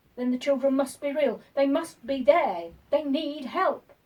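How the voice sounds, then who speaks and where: At a moderate pace, the lines come in a put-on character voice. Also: woman, high pitch for a woman. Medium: read story. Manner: educated, assertive.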